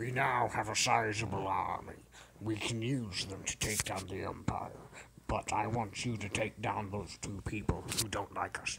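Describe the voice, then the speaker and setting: Putting on a raspy character voice at a fairly low pitch, a man speaks at a moderate pace over clear background noise. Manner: commanding, scheming.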